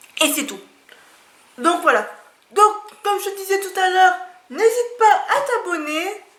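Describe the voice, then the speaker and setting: A woman with an extremely high pitch and lively intonation speaks with long, frequent pauses amid audible room echo. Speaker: YouTuber presenting books and art supplies. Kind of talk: casual vlog talk to camera. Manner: slow; halting, with filler hesitations.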